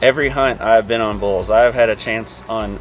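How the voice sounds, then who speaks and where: With music in the background, a man talks at a fairly quick pace and fairly even intonation. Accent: Kentucky. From Kentucky. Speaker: hunter. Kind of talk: casual chat.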